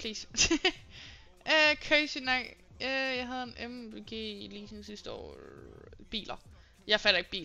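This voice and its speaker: With music in the background, a woman speaks at a fairly slow pace, with long, frequent pauses and big swings in loudness. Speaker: live streamer. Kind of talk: casual live stream chat with viewers.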